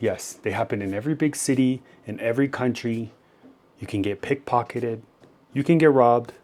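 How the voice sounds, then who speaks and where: A man has an unremarkable speaking voice at medium pitch. He talks at a fairly quick pace with ordinary pitch variation. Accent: Canadian. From Canada. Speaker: YouTuber reacting to videos. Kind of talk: reaction commentary.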